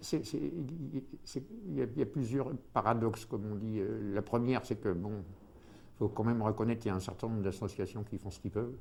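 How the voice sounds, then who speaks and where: Long, frequent pauses break up this man's fairly quick speech. His fairly low voice shows ordinary pitch variation. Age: 60s. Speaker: former homeless man, retiree. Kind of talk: testimony. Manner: halting, many hesitations.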